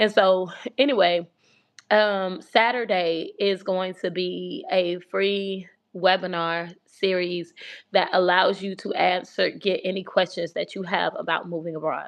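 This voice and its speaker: Fairly slow and fairly even in intonation, a woman speaks at a medium pitch. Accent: American. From US South, Atlanta. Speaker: relocation coach and channel host. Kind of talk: casual livestream talk.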